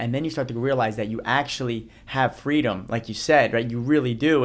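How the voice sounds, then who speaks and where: In an ordinary speaking voice, a man with an American accent talks at a fairly quick pace, medium pitch and fairly even intonation. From New Jersey. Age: 30s. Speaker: motivational speaker. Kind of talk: podcast interview.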